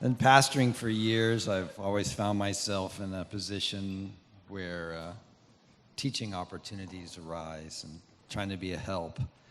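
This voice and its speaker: This man has an unremarkable speaking voice, fairly low in pitch, with ordinary pitch variation and a moderate pace. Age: 60s. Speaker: pastor and media business owner. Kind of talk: testimony.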